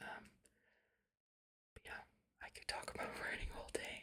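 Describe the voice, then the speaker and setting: Someone whispers at a moderate pace. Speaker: ASMR creator; writer. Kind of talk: casual chat to listeners. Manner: whispered.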